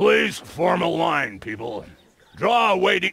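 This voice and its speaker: Using a put-on character voice at middle pitch, the speaker moves at a fairly slow pace with very wide pitch swings. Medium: video game. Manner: curt, keeps clearing her throat.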